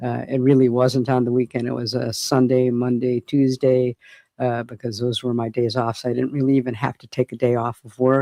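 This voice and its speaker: A man's dark, mellow tone at a moderate pace, monotone and flat, in a dry, close sound with no echo. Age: 60s. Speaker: livestreamer sharing weight-loss journey. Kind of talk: casual livestream chat reading comments. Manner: halting, many fillers.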